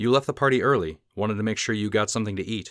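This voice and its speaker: Doing a put-on character voice, a man rattles along at a very fast pace and a fairly low pitch in a very clean recording with a silent background. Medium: read story.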